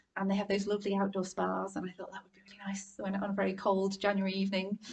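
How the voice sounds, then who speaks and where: A woman with a northern English accent speaks at a very fast pace. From northern England, Warrington. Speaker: art curator. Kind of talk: public conversation. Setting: live event with audience.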